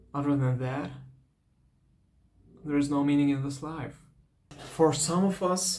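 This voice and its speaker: Audible room echo surrounds a man with a fairly high pitch who leaves long, frequent pauses. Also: fairly even intonation, fairly slow pace. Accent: non-native. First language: not English. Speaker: vlogger. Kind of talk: personal advice talk. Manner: halting, repeats words.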